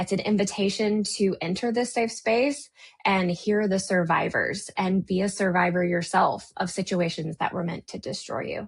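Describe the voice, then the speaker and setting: A woman with an American accent talks at a moderate pace, her somewhat breathy voice showing ordinary pitch variation. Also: medium pitch for a woman. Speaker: podcast host and life coach. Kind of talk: unscripted podcast intro monologue. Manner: casual, conversational.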